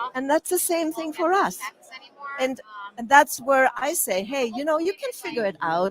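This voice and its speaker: A woman with a non-native accent speaks with very wide swings in pitch. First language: not English. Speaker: communication coach for entrepreneurs. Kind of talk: interview.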